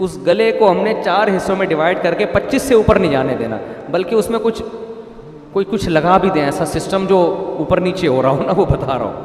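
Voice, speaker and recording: With lively intonation and a high pitch, a man speaks over noticeable background noise. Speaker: Islamic preacher. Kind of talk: religious sermon. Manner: humorous, lively, conversational.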